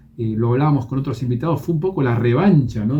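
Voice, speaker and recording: A man speaks at medium pitch in a plain, everyday voice. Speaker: radio host. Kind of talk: radio interview.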